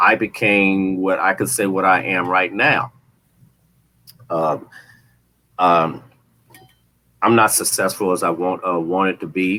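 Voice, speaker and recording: A man speaks at a fairly slow pace with long, frequent pauses. His pitch is very deep and low, and his intonation fairly even. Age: 60s. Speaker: home business owner. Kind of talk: interview. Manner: halting.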